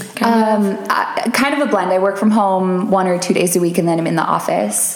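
A woman with an American accent at medium pitch, moderate pace with hardly any pauses, very even loudness and ordinary pitch variation, amid noticeable background noise and audible room echo. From Minnesota. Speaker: fitness program member, real estate brand director. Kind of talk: casual podcast interview.

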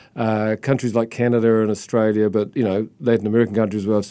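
Talking very fast in a New Zealand accent, a man keeps a monotone, flat intonation in a dark, mellow tone at a fairly low pitch. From New Zealand, Christchurch. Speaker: book publisher. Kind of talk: interview. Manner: halting.

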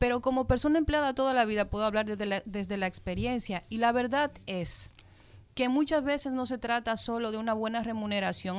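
A woman with a plain, everyday voice, fairly high pitch and ordinary pitch variation, at a fairly quick pace. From Dominican Republic. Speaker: radio co-host. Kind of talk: radio talk show.

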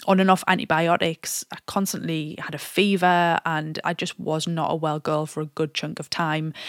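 A woman with an ordinary speaking voice talks at a moderate pace, her pitch fairly low and her intonation fairly even. The sound is dry and close with no echo, and the recording is very clean against a silent background. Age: 30s. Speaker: fitness coach and podcast host. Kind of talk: solo podcast monologue.

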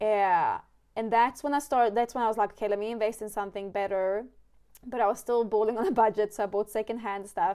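A woman with a Swedish accent speaks at a very fast pace in a fairly high, dark, mellow tone with fairly even intonation. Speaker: wildlife photographer and podcast host. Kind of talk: casual interview chat.

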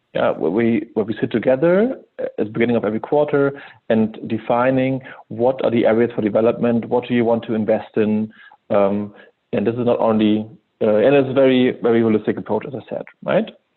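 A man with an ordinary speaking voice talks at a fairly quick pace, with a medium pitch and fairly even intonation. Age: 30s. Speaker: head of sales. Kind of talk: interview.

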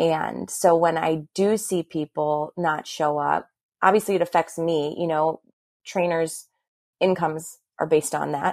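Fairly even intonation from a woman, in a dry, close sound with no echo and a very clean recording over a silent background. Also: fairly low pitch for a woman. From Milwaukee, Wisconsin, US Midwest. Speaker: fitness instructor. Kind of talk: casual chat.

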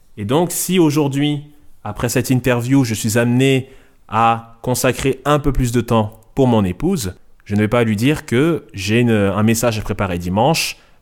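The recording is very clean, with a silent background. A man speaks at a medium pitch and fairly slow pace with lively intonation. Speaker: trainee pastor. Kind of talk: interview. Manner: halting.

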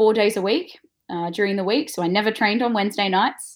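On a very clean recording with a silent background, a woman speaks with an Australian accent. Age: 20s. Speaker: former Olympic snowboarder and yoga teacher. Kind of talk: interview.

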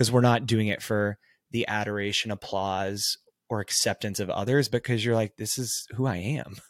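With a Texan accent, a man speaks at a moderate pace and fairly low pitch, keeping his intonation fairly even. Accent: Texan American. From Texas, small town. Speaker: life coach and consultant. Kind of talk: casual chat.

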